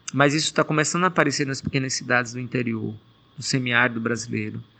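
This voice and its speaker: A man talks at a fairly quick pace in a medium pitch. His tone is bright and sharp, with fairly even intonation. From Brazil, Pernambuco sertão (Pajeú region). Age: 40s. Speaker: NGO coordinator. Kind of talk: interview.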